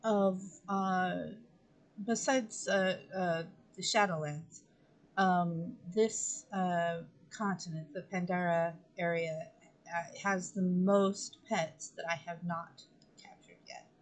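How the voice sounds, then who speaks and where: A woman speaks very slowly at a medium pitch in a somewhat breathy voice, her intonation fairly even but her loudness swinging a lot, with long, frequent pauses. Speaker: gaming streamer. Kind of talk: live gameplay stream. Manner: slurred speech; hesitant, many fillers.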